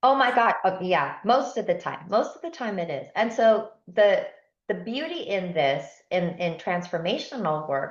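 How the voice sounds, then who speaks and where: A woman with a Spanish accent talks at a moderate pace and medium pitch. Her pitch swings very widely, and room echo is audible. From San Diego, California, Spanish-speaking home. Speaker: transformational coach. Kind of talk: podcast interview.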